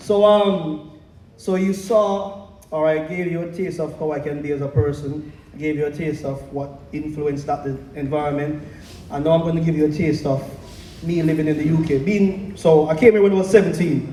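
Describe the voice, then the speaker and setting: A man talks at a fairly high pitch with ordinary pitch variation. Audible room echo and noticeable background noise surround him. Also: moderate pace. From Jamaica. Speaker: spoken word poet. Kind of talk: casual stage banter; spoken word performance. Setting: stage with audience at open mic night.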